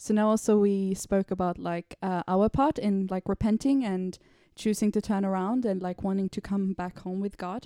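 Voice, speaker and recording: In a very clean recording with a silent background and a dry, close sound with no echo, a woman speaks at medium pitch and a moderate pace, her tone dark and mellow and her intonation fairly even. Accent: Swedish. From Sweden. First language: Swedish. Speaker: podcast guest. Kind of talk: casual faith discussion.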